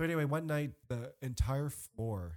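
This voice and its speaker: A man with an American accent speaks in a dark, mellow tone with lively intonation. The recording is very clean and the background silent. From US. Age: 30s. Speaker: guest. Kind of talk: casual chat. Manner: animated.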